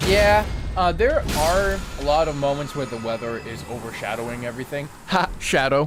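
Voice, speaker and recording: A man's fairly high voice with an animated tone and lively intonation at a moderate pace, amid noticeable background noise and audible room echo. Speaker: gaming streamer. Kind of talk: live gameplay stream chat. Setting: live stream from home setup. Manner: stuttering at times; casual, animated.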